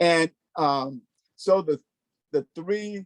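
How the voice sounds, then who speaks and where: A fairly high-pitched man with lively intonation, in a dry, close sound with no echo. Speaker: racial equity trainer. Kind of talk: workshop presentation. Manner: halting.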